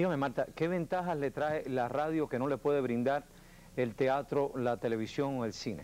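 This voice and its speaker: Pitched fairly high, a man with an unremarkable speaking voice talks at a moderate pace with ordinary pitch variation. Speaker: TV interview host. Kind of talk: interview host introduction and questions. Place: studio. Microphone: lapel.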